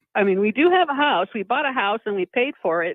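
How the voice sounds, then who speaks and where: At a fairly quick pace, a woman speaks in an unremarkable speaking voice with a medium pitch. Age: 50s. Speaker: caller. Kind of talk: call-in conversation.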